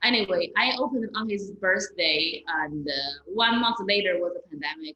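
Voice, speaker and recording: A woman speaks at a medium pitch with a Chinese accent. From China. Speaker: stand-up comedian and comedy club owner. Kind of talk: interview conversation. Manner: halting, repetitive.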